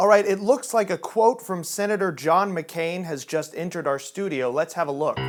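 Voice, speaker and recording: A man's high-pitched voice at a moderate pace, with ordinary pitch variation, hardly any pauses and music in the background. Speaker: comedian. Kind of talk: parody news anchor read.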